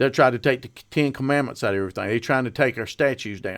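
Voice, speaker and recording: A man with a Southern accent and a medium pitch talks at a very fast pace with lively intonation, recorded very cleanly with a silent background. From North Carolina, Mount Airy area. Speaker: political podcaster and activist. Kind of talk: political monologue. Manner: informal, folksy.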